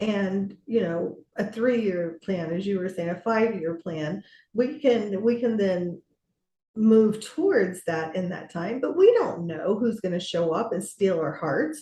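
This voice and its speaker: A woman at a fairly slow pace, with medium pitch, a dark, mellow tone, ordinary pitch variation and a somewhat breathy sound. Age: 60s. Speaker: business coach. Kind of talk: podcast interview conversation.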